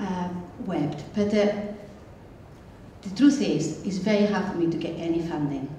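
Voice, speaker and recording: A moderate pace broken by long, frequent pauses, with ordinary pitch variation, audible room echo and noticeable background noise. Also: woman, fairly low pitch for a woman. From Spain. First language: Spanish. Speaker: filmmaker, audience member. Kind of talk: question from the audience.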